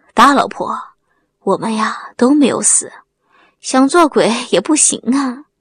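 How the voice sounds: A soft-spoken woman uses a put-on character voice, fairly high-pitched with a husky, rough edge and a fairly bright tone. She talks at a fairly slow pace with lively intonation.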